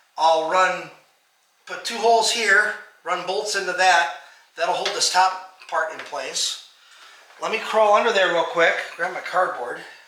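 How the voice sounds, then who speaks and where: A man speaks in a raised, projected voice at a high pitch, fairly slow and with fairly even intonation and long, frequent pauses. Audible room echo surrounds him. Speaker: DIY car restoration youtuber. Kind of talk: tutorial. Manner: loud; casual, halting.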